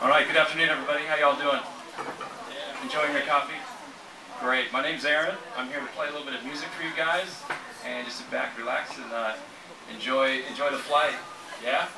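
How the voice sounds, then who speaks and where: A man talking at a very fast pace with fairly even intonation amid noticeable background noise. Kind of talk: stage intro to an audience. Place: cafe.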